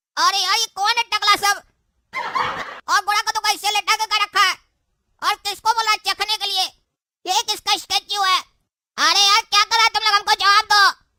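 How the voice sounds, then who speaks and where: Extremely high pitch marks this cartoonish character voice. The intonation stays monotone and flat. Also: moderate pace. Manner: panicky, whiny.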